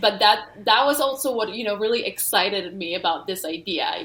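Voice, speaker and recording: Noticeable background noise sits behind a woman speaking at a medium pitch. She has lively intonation and a moderate pace. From Denmark. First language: Polish and Danish. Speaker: author and study-abroad scholar. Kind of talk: interview.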